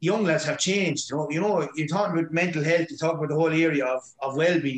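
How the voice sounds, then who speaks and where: In a Waterford accent, a man talks at a high pitch with ordinary pitch variation. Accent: Waterford Irish. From Ireland, Waterford. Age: 40s. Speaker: hurling manager and teacher. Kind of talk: casual interview chat.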